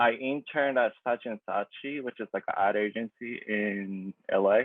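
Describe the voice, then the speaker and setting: A man speaks with a Japanese accent at a medium pitch. His pace is fairly slow. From Japan (Tokyo). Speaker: graphic designer. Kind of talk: presentation talk. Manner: halting, many fillers.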